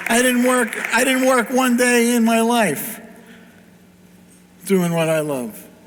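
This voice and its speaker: Over noticeable background noise, a man with an extremely high pitch speaks very slowly, with ordinary pitch variation and long, frequent pauses. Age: 60s. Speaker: pinball company founder. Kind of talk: panel talk. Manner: animated.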